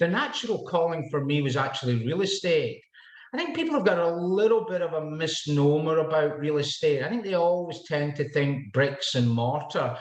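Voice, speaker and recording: A man in a Scottish accent talks at a moderate pace with a fairly high pitch and lively intonation, amid noticeable background noise and audible room echo. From Scotland. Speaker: realtor. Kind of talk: podcast interview.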